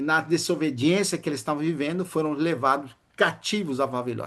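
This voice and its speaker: A man with a normal speaking voice, fairly high in pitch with ordinary pitch variation, at a moderate pace against a quiet background. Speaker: preacher. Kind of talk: sermon.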